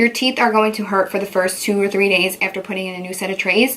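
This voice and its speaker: A woman's medium-pitched, animated voice over noticeable background noise. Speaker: beauty vlogger. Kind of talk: casual chat.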